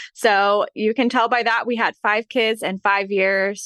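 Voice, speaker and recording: A woman with a Midwestern accent speaks fairly slowly in a bright, sharp tone and a monotone, flat delivery, recorded dry and close with no echo. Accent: general American, Midwestern. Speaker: author and podcaster. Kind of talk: casual interview chat.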